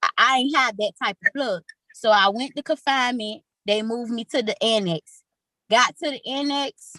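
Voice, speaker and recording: A woman with an American accent speaks at a high pitch in a bright, sharp tone, at a moderate pace. Her pitch variation is ordinary, and the sound is dry and close with no echo. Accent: Miami way of talking noticed by others. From Miami, Florida. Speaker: former prison inmate. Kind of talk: interview testimony. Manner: outspoken.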